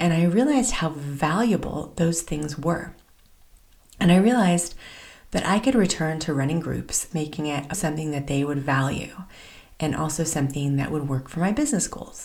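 A woman speaks with a very deep, low voice that is somewhat breathy. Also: ordinary pitch variation, moderate pace. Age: 40s. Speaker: podcast host and business coach. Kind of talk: personal solo monologue. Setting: studio, alone at the mic.

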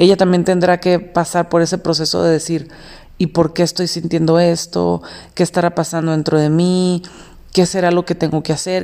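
A woman with a Mexican accent, fairly low in pitch and fairly quick in pace. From Mexico. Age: 30s. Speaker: podcast host. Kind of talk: solo monologue podcast.

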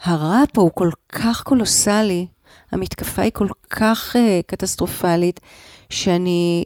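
A woman speaks at a very slow pace and medium pitch, with a dry, close sound and no echo. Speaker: psychoanalyst and trauma expert. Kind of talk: interview. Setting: in a car. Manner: halting.

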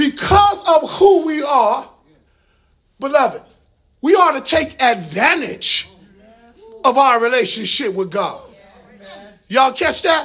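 Speaking in an animated tone at a fairly slow pace, a man with an extremely high pitch swings very widely in pitch and leaves long, frequent pauses. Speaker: preacher. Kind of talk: sermon; preacher in full flow, call-and-response with congregation. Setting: church with congregation. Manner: animated, rhythmic, conversational asides with folksy humor; engaging the crowd with repeated calls for response.

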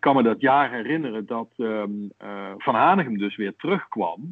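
A man speaks at a fairly slow pace. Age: 50s. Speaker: Feyenoord fan, podcast guest. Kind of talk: casual interview, reading aloud from a book.

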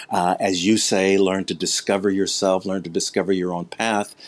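On a very clean recording with a silent background, a man speaks in a very deep, low pitch. His pace is moderate and his intonation monotone and flat. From US Midwest. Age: 60s. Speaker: martial arts instructor. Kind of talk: interview.

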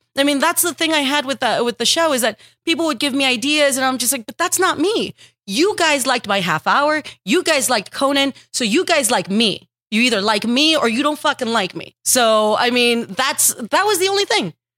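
A woman with an American accent speaks at a high pitch in a bright, sharp tone, with very wide pitch swings. The recording is very clean, with a silent background. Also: fairly quick pace, dry, close sound with no echo. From Texas. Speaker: comedian. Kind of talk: casual interview chat.

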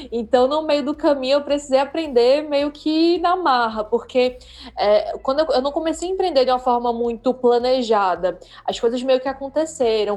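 Pitch moves with ordinary variation. The speech goes at a moderate pace. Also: woman, high pitch for a woman. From Brazil, Recife. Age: 30s. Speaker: entrepreneur. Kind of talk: interview. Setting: live stream.

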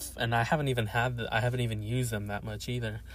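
The intonation of a man's voice stays fairly even. His voice is somewhat breathy. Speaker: student with part-time job. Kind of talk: casual vlog monologue. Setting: in a car. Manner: hesitant, many fillers.

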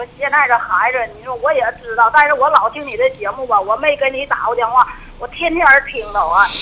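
Noticeable background noise sits behind a woman with a high pitch and ordinary pitch variation. She talks at a fairly quick pace, and her loudness swings widely. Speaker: caller. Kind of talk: phone-in advice call. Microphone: too quiet.

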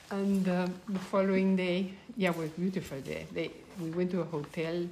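Moderate pace from a woman, noticeable background noise behind her. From Peru. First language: Spanish. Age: 70s. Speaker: grandmother telling her life story. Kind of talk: casual storytelling interview. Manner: halting with fillers and repetitions; laughs often.

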